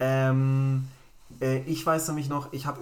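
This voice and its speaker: This man has an unremarkable speaking voice, medium in pitch and delivered at a fairly slow pace. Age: 30s. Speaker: tech podcast host. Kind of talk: casual chat.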